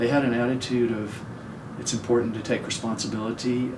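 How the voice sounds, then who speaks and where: Noticeable background noise and audible room echo surround a man speaking at a medium pitch with monotone, flat intonation. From US South, Chattanooga, Tennessee. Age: 60s. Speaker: social impact investor. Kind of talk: interview, life story.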